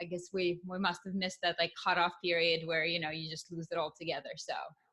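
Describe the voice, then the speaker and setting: Fast and flat, a woman with a Russian accent talks at a very fast pace in a monotone, with a fairly low pitch and a bright, sharp tone. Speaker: podcast host. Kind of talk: podcast interview.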